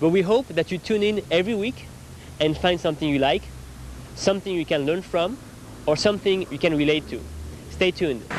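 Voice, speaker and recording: A man with a French accent talks at a fairly quick pace and a high pitch, with ordinary pitch variation and long, frequent pauses. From France. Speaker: TV host and reporter. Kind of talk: scripted show intro.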